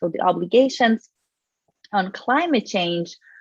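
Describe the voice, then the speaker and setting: On a dry, close recording with no echo, a woman talks with ordinary pitch variation. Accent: Portuguese. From Brazil. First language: Portuguese. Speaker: environmental lawyer and climate litigation researcher. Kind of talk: panel talk.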